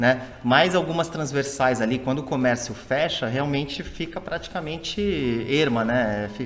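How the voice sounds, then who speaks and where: Over music in the background, a man speaks at a fairly slow pace and a medium pitch. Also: ordinary pitch variation. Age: 40s. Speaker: podcast co-host. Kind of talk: casual chat.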